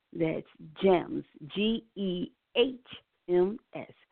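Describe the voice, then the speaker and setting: A woman talks with ordinary pitch variation. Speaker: radio producer. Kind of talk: radio hosting.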